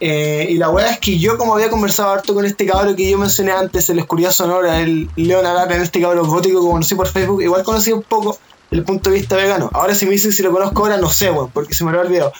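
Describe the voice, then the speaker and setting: Amid noticeable background noise, a man talks at a very fast pace in a high pitch, with fairly even intonation and very even loudness. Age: 20s. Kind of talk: casual chat.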